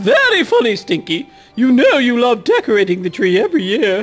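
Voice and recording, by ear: This put-on character voice has a fairly high pitch and a fairly quick pace. Faint music sits in the background.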